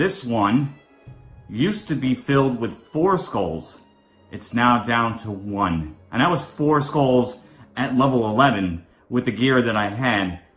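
A man talks at a fairly slow pace. Faint music can be heard in the background. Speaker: gaming content creator. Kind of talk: game commentary.

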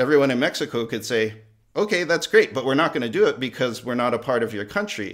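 In a very clean recording with a silent background, a man at a medium pitch speaks at a very fast pace with lively intonation. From Hawaii. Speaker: museum curator. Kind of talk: interview.

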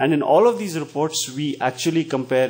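Over faint music in the background, a man talks at a fairly quick pace. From India. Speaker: education NGO representative; panelist. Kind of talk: panel Q&A discussion. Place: meeting room. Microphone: handheld.

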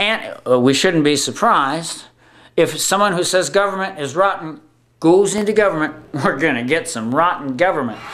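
His pitch rises and falls over a very wide range. The man keeps a moderate pace. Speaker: video blogger. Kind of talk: political opinion vlog. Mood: indignant, wry humor. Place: home room. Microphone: webcam.

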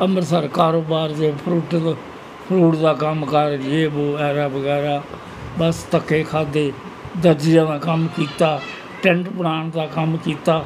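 A man with monotone, flat intonation over noticeable background noise. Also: fairly high pitch for a man. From Pakistan, Punjab. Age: 80s+. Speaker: partition refugee. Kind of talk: interview answer. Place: home room. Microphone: lapel.

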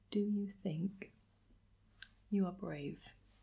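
Soft-spoken, somewhat breathy delivery with a gentle tone, a dark, mellow tone and fairly even intonation. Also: woman. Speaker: vlogger asking questions. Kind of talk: casual vlog chat. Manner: soft-spoken, gentle, intimate ASMR voice. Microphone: phone near.

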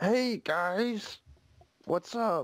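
This is a female-sounding voice in a medium pitch. It is a put-on character voice. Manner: manly, exaggerated.

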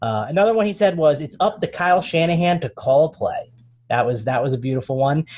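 A man speaks at a fairly quick pace with lively intonation and a somewhat breathy voice. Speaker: fantasy sports analyst. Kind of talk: casual chat.

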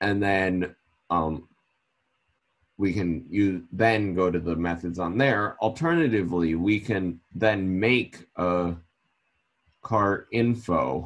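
At a very slow pace, the voice moves with ordinary pitch variation over a very clean recording with a silent background. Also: man. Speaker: student. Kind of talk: tutorial.

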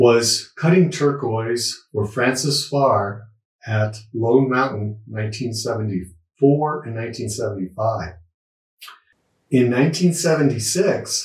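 A man speaks at a very slow pace in a somewhat breathy voice, with ordinary pitch variation. The room echo is audible, though the background is quiet. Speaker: host introducing an interview. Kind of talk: spoken introduction to camera. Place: home room.

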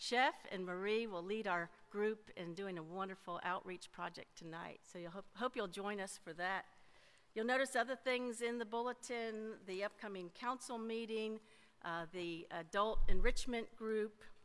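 The pace is moderate, with ordinary pitch variation. Loudness moves in big swings. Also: woman. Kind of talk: church announcements. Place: church. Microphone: podium.

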